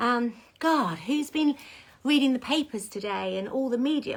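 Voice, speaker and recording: A woman speaks with an English accent and lively intonation. Her tone is animated. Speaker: salon owner. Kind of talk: casual chat. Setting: social media livestream. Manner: whispering at times.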